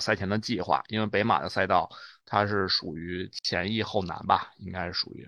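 It is an unremarkable speaking voice with ordinary pitch variation. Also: man. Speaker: running coach. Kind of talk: casual chat.

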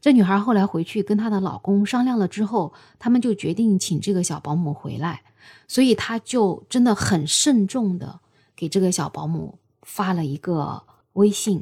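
On a very clean recording with a silent background, a woman at medium pitch speaks at a moderate pace with lively intonation and a somewhat breathy, dark, mellow tone. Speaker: podcast host. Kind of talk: storytelling monologue. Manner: casual, with fillers.

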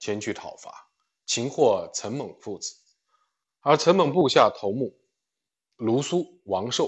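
This man talks at a very slow pace with lively intonation. Vocal fry runs through his voice. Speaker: livestream book reader. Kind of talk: reading aloud. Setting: livestream.

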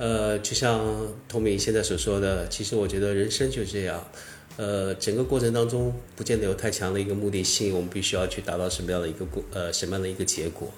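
A man talks very fast at a fairly low pitch, somewhat breathy, with ordinary pitch variation and audible room echo. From southern Fujian (Minnan), China. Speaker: former online forum writer and entrepreneur. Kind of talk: casual interview conversation.

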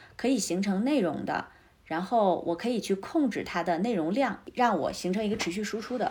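A woman with a normal speaking voice and medium pitch talks at a moderate pace with lively intonation, in a very clean recording with a silent background. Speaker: entrepreneur, former journalist. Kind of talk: interview conversation.

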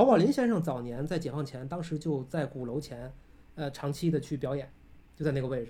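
A somewhat breathy, fairly high-pitched male voice. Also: ordinary pitch variation, fairly quick pace. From Tianjin, northern China. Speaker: architect and lecturer. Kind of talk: casual chat. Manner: animated.

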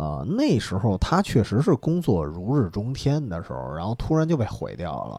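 The man's voice is fairly low and dark, mellow in tone, moving at a moderate pace with very wide pitch swings. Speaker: podcast host. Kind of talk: casual chat. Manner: soft-spoken.

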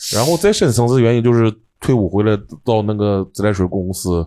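A man's dark, mellow voice comes through in a very clean recording with a silent background. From Dalian, northeast China. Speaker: stand-up comedian. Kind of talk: casual interview chat.

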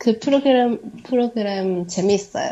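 A woman's very slow speech in a Chinese accent. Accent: Chinese-accented Korean.

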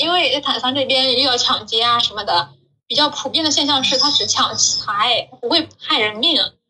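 Raising and projecting her high voice, a woman speaks at a moderate pace with ordinary pitch variation. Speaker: Chinese employee working in Africa. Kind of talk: casual interview.

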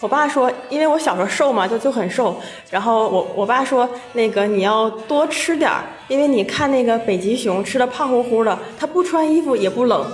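A woman speaks at a high pitch and a moderate pace, with lively intonation and very even loudness, amid audible room echo and noticeable background noise. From Shenyang, Liaoning, northeast China. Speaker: office worker. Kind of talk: casual chat.

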